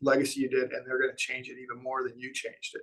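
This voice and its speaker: The pace is very fast. It comes from a man. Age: 60s. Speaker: print company CEO. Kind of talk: interview conversation. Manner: halting, many fillers and restarts.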